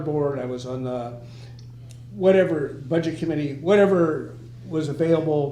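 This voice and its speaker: With audible room echo and noticeable background noise, a man of fairly high pitch talks at a moderate pace with ordinary pitch variation. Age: 80s+. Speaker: former local politician. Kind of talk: casual group discussion.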